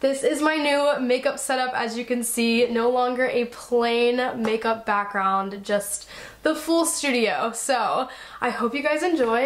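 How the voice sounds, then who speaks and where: This woman's voice is high in pitch. Her pitch variation is ordinary. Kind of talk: casual vlog chat. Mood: cheerful, laughing. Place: home room.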